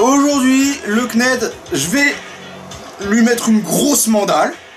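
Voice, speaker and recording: A man's voice with music in the background. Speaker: YouTuber. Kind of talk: casual vlog rant. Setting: home at night. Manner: loud; hesitant with fillers.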